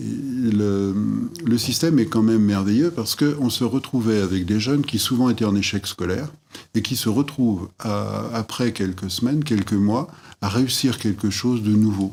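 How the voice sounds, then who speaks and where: A man talks at a moderate pace in a fairly low pitch, with ordinary pitch variation. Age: 60s. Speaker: former school headmaster. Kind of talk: interview testimony. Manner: halting, many hesitations.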